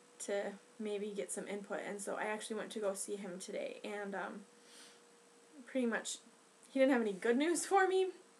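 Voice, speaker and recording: Over noticeable background noise, a woman with a fairly high pitch speaks at a moderate pace. Her pitch variation is ordinary, and she takes long, frequent pauses. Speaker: pregnancy vlogger. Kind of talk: casual vlog monologue.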